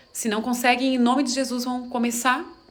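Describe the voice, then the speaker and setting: Over noticeable background noise and audible room echo, a woman speaks at a fairly quick pace with a fairly high pitch. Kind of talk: monologue to camera, religious talk. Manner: animated.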